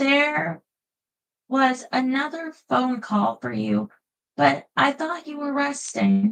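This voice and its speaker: Using a put-on character voice, a woman speaks at a high pitch and a very slow pace. Her loudness swings widely. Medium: read story. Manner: formal, polite.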